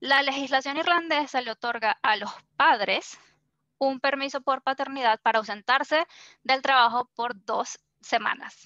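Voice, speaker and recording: A woman's raised, projected voice, high-pitched with a bright, sharp tone, at a fairly slow pace, in a dry, close sound with no echo. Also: quiet background. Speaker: workshop facilitator. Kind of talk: workshop presentation.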